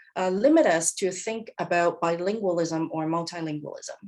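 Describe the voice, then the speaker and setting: A woman speaks at a moderate pace. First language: Cantonese. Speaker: professor. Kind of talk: lecture.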